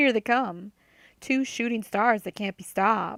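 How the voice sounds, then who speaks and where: A whiny, put-on character voice moves at a fairly slow pace in a very clean recording with a silent background. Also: woman, fairly high pitch for a woman. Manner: mocking.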